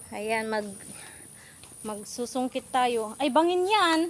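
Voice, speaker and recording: A woman's very slow speech with lively intonation, amid noticeable background noise. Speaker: vlogger. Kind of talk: casual vlog narration. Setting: outdoors. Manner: animated.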